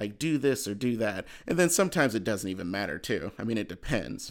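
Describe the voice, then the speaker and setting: The recording is very clean and its background silent. In it, a man speaks at a moderate pace. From US Midwest, Cleveland. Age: 20s. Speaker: podcast host. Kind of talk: casual monologue. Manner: conversational, many fillers.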